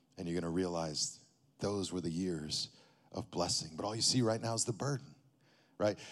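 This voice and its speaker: Speaking in a West Texas accent, a man with a very deep, low pitch and ordinary pitch variation keeps a moderate pace with long, frequent pauses, in a very clean recording with a silent background. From Texas, Amarillo. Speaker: pastor. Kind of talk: sermon.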